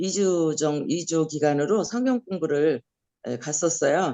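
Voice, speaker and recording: A woman with a fairly low pitch speaks at a very slow pace, her intonation lively. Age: 70s. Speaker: missionary. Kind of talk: testimony. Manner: halting.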